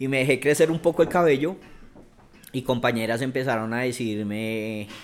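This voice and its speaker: A man talks at a moderate pace with ordinary pitch variation and a medium pitch. He has a plain, everyday voice. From Bogotá, Colombia. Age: 40s. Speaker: activist and cultural manager. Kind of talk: interview conversation.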